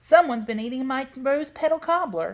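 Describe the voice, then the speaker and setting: Using a put-on character voice, a woman speaks high at a moderate pace. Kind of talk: middle-sized bear voice.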